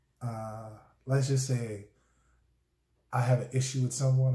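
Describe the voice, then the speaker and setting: A man with an American accent, a dark, mellow tone and a somewhat breathy voice, in a monotone, flat intonation at a fairly slow pace, with audible room echo and a quiet background. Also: long, frequent pauses. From Charleston, South Carolina. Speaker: husband explaining dialect. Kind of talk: casual conversation to camera. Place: home room. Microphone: phone near.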